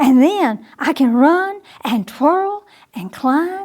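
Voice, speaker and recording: High-pitched put-on character voice from a woman, delivered very slowly. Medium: read story.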